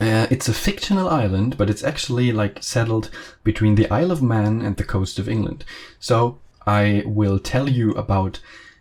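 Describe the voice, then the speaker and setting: A man talks with a German accent. His voice is somewhat breathy. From Germany. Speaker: train simulator content creator. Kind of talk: casual video commentary. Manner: halting, many fillers.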